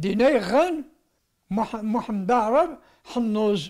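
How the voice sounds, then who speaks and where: Over a quiet background, a man speaks at an extremely high pitch with ordinary pitch variation. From Algeria. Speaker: massacre survivor and eyewitness; witness. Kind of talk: testimony. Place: home room. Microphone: handheld.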